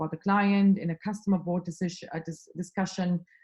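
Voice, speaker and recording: Somewhat breathy with a dark, mellow tone, the voice moves at a very fast pace. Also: woman. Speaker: consulting skills trainer. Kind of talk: online workshop.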